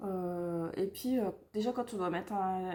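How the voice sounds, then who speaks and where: A woman's dark, mellow voice moves at a fairly slow pace. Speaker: knitting vlogger. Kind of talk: casual vlog. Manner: hesitant, many fillers.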